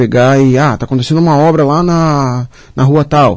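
At a moderate pace, a man with a fairly high pitch and fairly even intonation talks in a plain, everyday voice. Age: 20s. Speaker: civil engineer. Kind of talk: radio interview. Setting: radio studio, also streamed live on social media.

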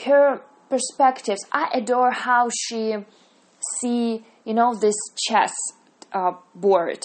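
A woman with a Russian accent speaks at a very slow pace, leaving long, frequent pauses. Her voice sits fairly high and shows ordinary pitch variation. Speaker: podcaster reviewing TV series. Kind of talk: monologue review. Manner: halting, many fillers and self-corrections.

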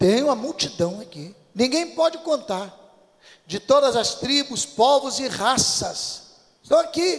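At a very slow pace, a man with an extremely high pitch speaks with lively intonation and big swings in loudness. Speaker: pastor. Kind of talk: sermon.

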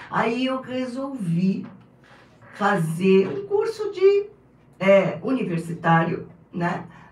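The speech moves at a very slow pace with long, frequent pauses and ordinary pitch variation. Audible room echo and noticeable background noise fill the recording. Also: woman, medium pitch for a woman. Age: 60s. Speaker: pastor. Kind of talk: casual interview.

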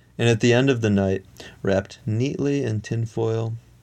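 Ordinary pitch variation in plain reading aloud

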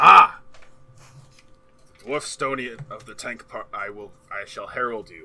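A man puts on a character voice, talking at a fairly slow pace and leaving long, frequent pauses. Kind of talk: archaic fantasy speech. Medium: actual play. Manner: formal, humble, courteous.

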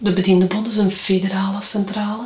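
Background noise is noticeable, and the speech moves at a moderate pace. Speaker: trade union official. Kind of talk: interview. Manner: direct.

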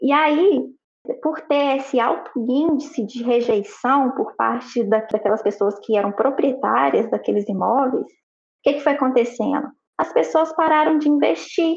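A woman's high voice carries lively intonation at a fairly slow pace. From Pitangui, Minas Gerais, Brazil. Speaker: architect. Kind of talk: casual chat.

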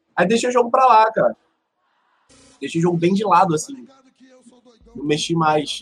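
A man with a high pitch and lively intonation talks fairly quickly while music plays in the background. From Rio de Janeiro, Brazil. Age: 30s. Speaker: Hearthstone streamer. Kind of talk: casual chat.

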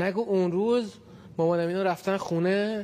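A man speaks with a high pitch and a dark, mellow tone. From Tehran, Iran. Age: 20s. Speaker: university student, near-death experiencer. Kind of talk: personal testimony interview.

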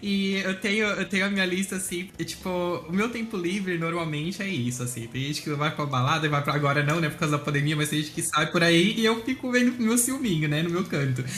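This man talks at a fairly quick pace with hardly any pauses, his high voice carrying lively intonation. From Brazil, Santa Catarina (Blumenau). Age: 20s. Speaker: meme page creator, guest. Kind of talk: casual chat.

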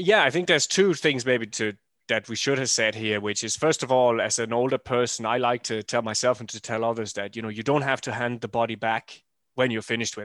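Against a quiet background, a man with a normal speaking voice talks at a fairly quick pace. His medium pitch has ordinary variation. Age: 40s. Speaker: running coach. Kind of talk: casual chat.

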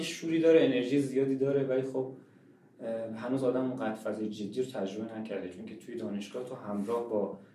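A man talks at a very fast pace and medium pitch. Audible room echo and noticeable background noise surround him. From Iran, Shiraz. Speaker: painter. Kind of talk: interview.

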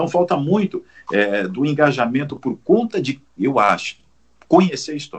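Here a man uses an ordinary speaking voice with lively intonation. He keeps a moderate pace. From Paraná, Brazil. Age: 50s. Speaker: sports commentator. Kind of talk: interview.

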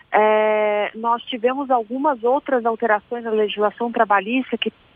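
High-pitched female voice, its pitch varying in an ordinary way. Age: 30s. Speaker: labor law consultant. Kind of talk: radio interview. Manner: hesitant, frequent fillers.

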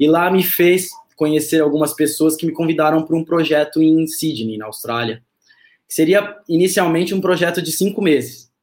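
Male speech in a plain, everyday voice, fairly high-pitched, with ordinary pitch variation and a moderate pace. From São Paulo, Brazil. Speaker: startup co-founder, digital innovation head. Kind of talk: casual interview.

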